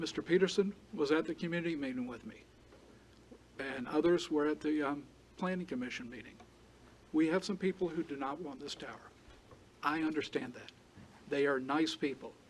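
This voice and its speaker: A man with a South Carolina accent speaks at a fairly quick pace and a fairly high pitch, his intonation fairly even, his loudness swinging widely, with long, frequent pauses. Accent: Southern US (South Carolina). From South Carolina (Charleston County). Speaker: telecom tower applicant representative. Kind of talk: public hearing presentation. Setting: county board meeting room.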